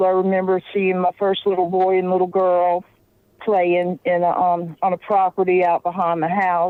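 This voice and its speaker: A woman with a Louisiana accent. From Louisiana, New Orleans. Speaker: paranormal investigator and psychic. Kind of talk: interview.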